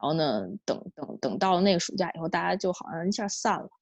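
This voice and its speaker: Vocal fry runs through this woman's voice, which sits at a medium pitch. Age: 30s. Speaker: podcast guest. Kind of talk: casual chat. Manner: halting, many repetitions.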